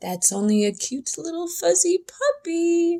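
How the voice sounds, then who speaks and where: The voice is a squeaky, put-on character voice at an extremely high pitch. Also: fairly slow pace. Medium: read story.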